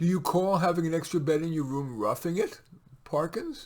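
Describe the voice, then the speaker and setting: A man's gruff, put-on character voice, high-pitched, with ordinary pitch variation at a moderate pace. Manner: teasing, skeptical.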